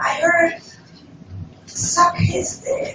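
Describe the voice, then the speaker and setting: Speech comes at a very slow pace with audible room echo and music in the background. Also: woman. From Netherlands. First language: Dutch. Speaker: stand-up comedian. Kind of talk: stand-up. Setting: stage with audience.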